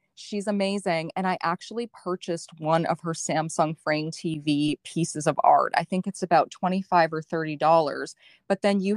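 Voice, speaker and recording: Dry and close with no echo, a woman's normal speaking voice comes through at a fairly low pitch and moderate pace, with fairly even intonation. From Canada. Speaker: blogger and online group founder. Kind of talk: casual interview chat.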